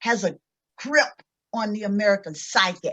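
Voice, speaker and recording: With a Mississippi accent, a woman speaks using lively intonation. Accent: Southern US, Mississippi. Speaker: cultural anthropologist and educator; civil rights activist. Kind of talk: lecture with slides.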